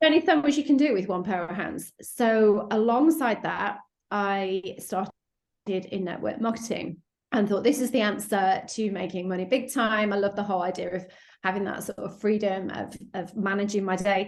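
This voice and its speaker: Over a quiet background, a woman with a British accent talks at a moderate pace and medium pitch, with ordinary pitch variation. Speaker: sales coach. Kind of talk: podcast interview. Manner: animated.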